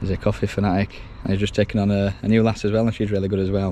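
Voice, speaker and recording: This man speaks at a very fast pace with a Yorkshire accent. His pitch is fairly low. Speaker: electrician. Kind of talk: on-the-job tutorial vlog. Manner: casual, chatty; quiet.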